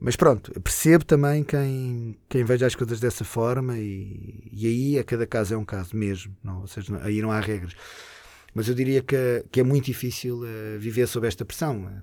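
In a very clean recording with a silent background, a man with a European Portuguese accent speaks at a moderate pace in a dark, mellow, medium-pitched tone with ordinary pitch variation. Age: 40s. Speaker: show producer. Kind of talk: casual interview.

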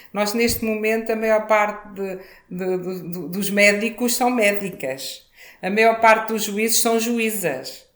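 Amid audible room echo, a woman with a fairly high voice speaks at a very slow pace with ordinary pitch variation. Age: 60s. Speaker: former mayor, politician. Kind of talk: interview.

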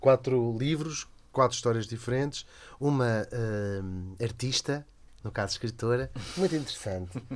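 A man with a normal speaking voice talks at a fairly slow pace in a medium pitch with ordinary pitch variation, on a very clean recording with a silent background. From Lisbon, Portugal. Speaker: radio host and cartoonist. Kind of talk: casual chat.

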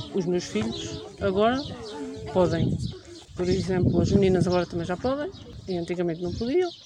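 A woman talks at medium pitch and a moderate pace, with very wide pitch swings. Long, frequent pauses break her speech amid noticeable background noise. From Portugal, Ribatejo (Alpiarça). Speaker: Roma community member, mother. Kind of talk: interview testimony. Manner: halting.

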